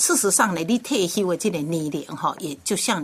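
A woman speaks at a moderate pace with lively intonation and a fairly low pitch. She has an ordinary speaking voice. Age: 60s. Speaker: radio host. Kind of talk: radio interview.

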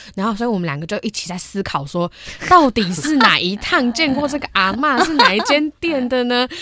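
Over noticeable background noise, the speaker moves at a fairly quick pace with very wide pitch swings. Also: woman, high pitch for a woman. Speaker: university broadcasting student. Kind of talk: casual interview chat. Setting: studio.

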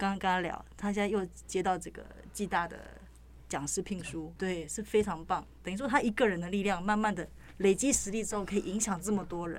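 Speaking in a Taiwanese accent, a woman uses vocal fry, fairly even intonation and a fairly quick pace. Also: medium pitch for a woman. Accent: Taiwanese Mandarin. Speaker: news reporter. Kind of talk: casual interview chat.

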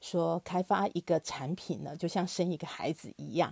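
Somewhat breathy and fairly low, a woman's dark, mellow voice moves at a moderate pace in a dry, close recording with no echo and a very clean, silent background. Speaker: podcast host for a consumer cooperative. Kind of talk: interview.

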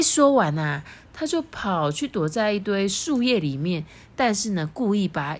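The clip has a person reading aloud in a natural voice.

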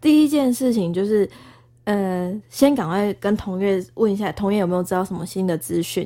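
A woman with an unremarkable speaking voice talks at medium pitch and a moderate pace. Her intonation is lively, and the recording is very clean with a silent background. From Taiwan, Tainan. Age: 20s. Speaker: former TV news reporter, graduate student. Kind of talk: casual chat.

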